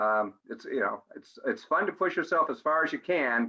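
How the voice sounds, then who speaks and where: Here a man speaks with a normal speaking voice. His pitch is fairly high and his pace moderate. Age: 60s. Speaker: audience member, former college runner. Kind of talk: casual Q&A remark.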